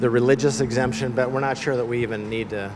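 A man speaks fast at a medium pitch with fairly even intonation. Faint background noise is present.

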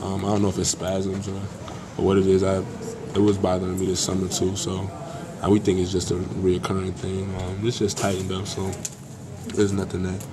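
Over clear background noise, a man talks fairly quickly in a low, monotone voice with flat intonation.

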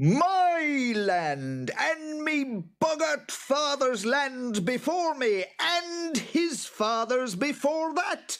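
A shrill, put-on character voice with a fairly bright tone moves through big pitch swings. It goes at a very slow pace with few pauses.

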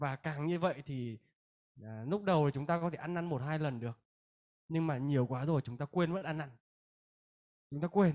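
A man with a fairly high pitch speaks at a fairly quick pace with ordinary pitch variation. He takes long, frequent pauses against a quiet background. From northern Vietnam, Hanoi; Vietnam. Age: 20s. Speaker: Bible school student. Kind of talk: testimony; religious testimony speech. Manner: halting. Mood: earnest, reflective. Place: hall. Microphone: handheld.

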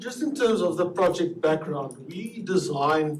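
This man talks at a moderate pace with a South African accent and lively intonation. Room echo can be heard around him. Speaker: survey researcher presenting results. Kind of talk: presentation to city council. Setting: city council meeting.

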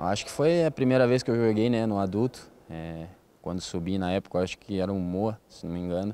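Dark and mellow, a man's fairly low voice runs at a fairly quick pace with ordinary pitch variation in a dry sound with no echo. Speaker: futsal player. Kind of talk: interview. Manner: halting. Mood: relaxed, smiling. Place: hall. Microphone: handheld.

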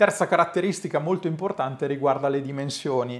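The background is quiet. Pitch variation is ordinary. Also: man. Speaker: DIY workshop YouTuber. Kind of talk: product review tutorial. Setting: home workshop. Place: workshop. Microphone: lapel.

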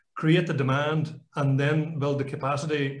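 A man talks fairly slowly, and room echo can be heard around his voice. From Ireland. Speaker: company chairman; guest. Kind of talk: panel discussion; interview answer. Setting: video call. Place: home room. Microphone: video call.

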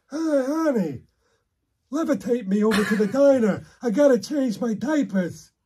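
The speaker uses a put-on character voice, fairly high in pitch, at a moderate pace. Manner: grumpy, complaining.

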